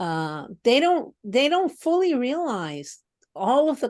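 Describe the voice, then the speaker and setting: A woman at a very slow pace, with very wide pitch swings and a quiet background. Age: 70s. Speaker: podcast co-host. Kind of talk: casual conversation. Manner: halting, repeated words.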